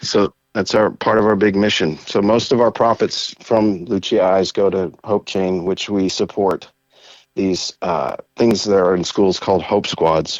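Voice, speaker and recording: A man with a plain, everyday voice speaks at a fairly slow pace and a fairly low pitch. His intonation is fairly even, and his loudness is very even. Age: 50s. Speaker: nonprofit founder. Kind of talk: interview.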